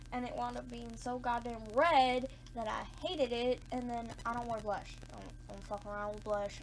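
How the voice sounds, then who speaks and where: Audible room echo surrounds a woman's voice. She talks at a moderate pace. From US South, Georgia. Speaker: beauty vlogger. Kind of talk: casual chat. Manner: animated.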